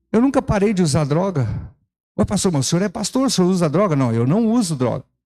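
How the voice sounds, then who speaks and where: A man's high-pitched voice with very wide pitch swings, a dark, mellow tone and a fairly quick pace. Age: 60s. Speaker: pastor. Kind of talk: sermon. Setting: church. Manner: animated.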